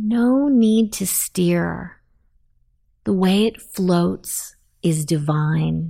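Over a very clean, silent background, a woman speaks at a very slow pace and fairly low pitch with long, frequent pauses. Her tone is gentle and soothing, her loudness very even, and her intonation lively. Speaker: meditation guide. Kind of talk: sleep guided meditation, second-person visualization of drifting in a canoe. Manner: slow, hushed, soothing cadence meant to lull listener to sleep; gentle, reassuring, repetitive affirmations.

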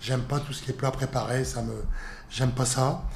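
A man speaks at a fairly quick pace in a somewhat breathy voice. The room gives off audible echo. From northern France, Lille. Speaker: sports federation president. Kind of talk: interview. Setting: federation headquarters office.

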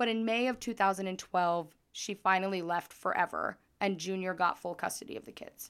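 A woman speaks in a plain, everyday voice at medium pitch, with ordinary pitch variation. Her moderate pace has hardly any pauses, and the recording is very clean with a silent background. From southern Idaho. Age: 20s. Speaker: true crime podcast host. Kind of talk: true crime storytelling. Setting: recording away from usual studio.

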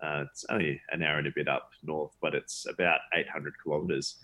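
A man speaks with an Australian accent and fairly even intonation. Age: 30s. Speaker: charity event founder. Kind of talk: interview conversation.

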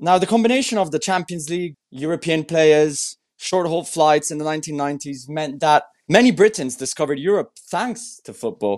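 The speaker uses lively intonation with an Italian accent against a quiet background. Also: man, fairly high pitch for a man. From Italy. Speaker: podcast host, football journalist. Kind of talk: podcast interview; scripted narration.

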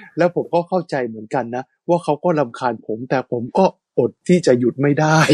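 The speaker is a man with a fairly high pitch and ordinary pitch variation, in an unremarkable speaking voice. The sound is dry and close, with no echo. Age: 40s. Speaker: radio host. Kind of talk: casual chat.

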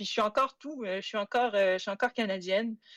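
At a medium pitch and a moderate pace, a woman speaks with fairly even intonation on a very clean recording with a silent background, the sound dry and close with no echo. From Quebec, Saguenay. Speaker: history PhD student. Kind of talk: interview. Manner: halting.

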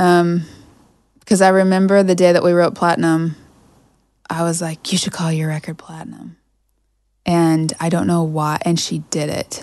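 A woman's fairly low voice with an American accent, monotone and flat, at a moderate pace broken by long, frequent pauses. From Kansas. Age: 30s. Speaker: songwriter. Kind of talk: casual chat.

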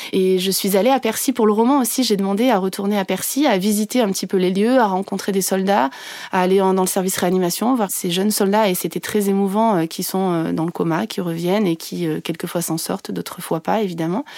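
A woman talks at a fairly quick pace with hardly any pauses. Her pitch is medium, and it varies in an ordinary way. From France, Ardèche. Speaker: journalist and novelist. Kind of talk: interview. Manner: halting.

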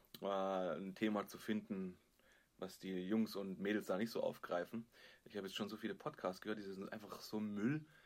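A man speaks in an ordinary speaking voice at a fairly low pitch. His pace is moderate and his pitch varies in an ordinary way. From Stuttgart area, Germany. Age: 30s. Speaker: podcast co-host. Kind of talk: casual chat. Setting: video call.

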